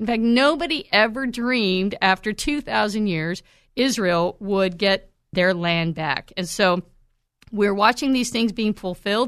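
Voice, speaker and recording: A woman's medium-pitched, normal speaking voice with lively intonation at a fairly slow pace, over a quiet background. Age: 50s. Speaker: Bible teacher and podcast host. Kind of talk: Bible teaching monologue. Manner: conversational with filler words.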